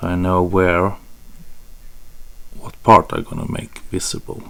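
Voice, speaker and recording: A man's very deep, low voice with a Swedish accent, fairly slow, with big swings in loudness and noticeable background noise. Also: fairly even intonation. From Sweden. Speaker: photography tutorial creator. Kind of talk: tutorial. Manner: hesitant, with fillers.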